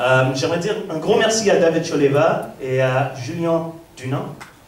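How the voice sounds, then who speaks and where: The speaker's intonation is lively, with audible room echo and noticeable background noise. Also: man. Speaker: actor. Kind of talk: festival stage speech.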